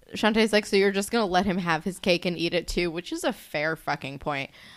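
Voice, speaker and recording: With a New Jersey accent, a woman speaks at a moderate pace in a medium pitch with lively intonation. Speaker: podcast co-host. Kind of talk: casual podcast chat.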